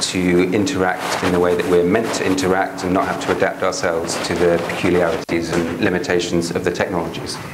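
A man talks at a fairly quick pace with hardly any pauses and a very deep, low pitch. Noticeable background noise sits behind him. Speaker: professor and researcher. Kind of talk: academic seminar lecture. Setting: lecture hall with audience. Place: classroom.

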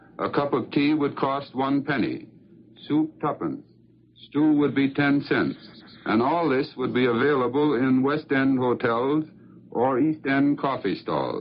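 A man talks at a moderate pace in a medium-pitched voice with fairly even intonation. Light background noise sits behind him. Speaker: foreign news correspondent. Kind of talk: 1940s radio news broadcast, correspondent dispatch. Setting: London, transatlantic radio link. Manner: formal, measured, brisk. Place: studio. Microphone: old recording.

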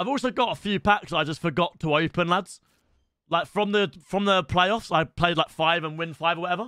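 Against a quiet background, a man speaks at a moderate pace in a high pitch, his tone bright and sharp, his pitch variation ordinary, and the sound dry with no echo. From England. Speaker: gaming streamer. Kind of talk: live stream commentary. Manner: quieter than usual to avoid waking dog. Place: home room. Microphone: studio mic.

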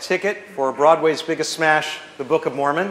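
The speaker is a man. His voice carries audible echo from the room. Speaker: auctioneer. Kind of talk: scripted item pitch to audience. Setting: live event hall, PA system. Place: hall. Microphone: camera far.

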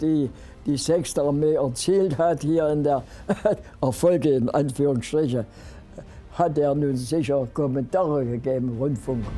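With music in the background, a man talks at a fairly slow pace in a fairly high pitch with ordinary pitch variation. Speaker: WWII veteran, former German infantry soldier. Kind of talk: eyewitness interview answer.

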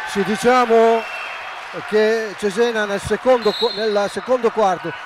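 A man speaks at an average speed, and background noise is clearly audible. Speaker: basketball color commentator. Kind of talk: live commentary.

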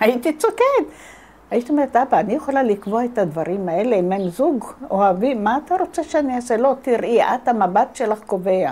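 A woman speaks at a moderate pace with a high, lively voice, very even loudness, and long, frequent pauses. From Jerusalem. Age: 70s. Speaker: war veteran; interviewee. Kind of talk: testimony. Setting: at home. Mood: reflective, nostalgic. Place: home room. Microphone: lapel.

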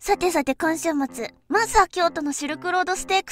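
A woman speaks with a Tohoku accent. Music plays in the background. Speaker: horse racing VTuber. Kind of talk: casual talk to camera, race prediction.

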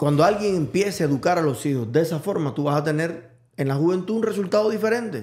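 A man's voice sits high in pitch, with ordinary pitch variation. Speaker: podcast host. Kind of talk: casual chat.

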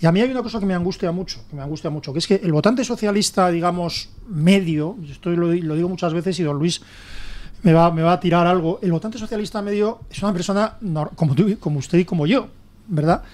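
A high-pitched man talks at a very fast pace with ordinary pitch variation. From Spain. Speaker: political commentator; radio panelist. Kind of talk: panel debate. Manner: halting. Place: studio.

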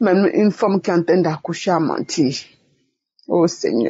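A woman speaks with a somewhat breathy voice. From Togo. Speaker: church member giving testimony. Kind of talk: testimony.

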